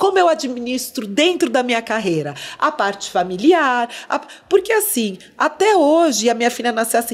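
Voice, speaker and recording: A woman's high voice swings very widely in pitch while she talks at a moderate pace. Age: 50s. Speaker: former dancer and actress, now marketing entrepreneur; podcast guest. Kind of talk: interview conversation. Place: studio. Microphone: studio mic.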